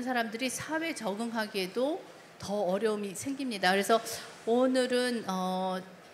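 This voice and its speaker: A woman speaks at a fairly high pitch with ordinary pitch variation. Noticeable background noise and audible room echo are present. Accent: non-native. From South Korea, emigrated to US in childhood. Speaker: developmental pediatrician. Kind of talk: lecture. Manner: halting, many fillers.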